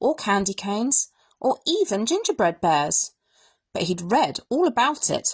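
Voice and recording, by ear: All is quiet in the background. Someone reads aloud in a natural voice.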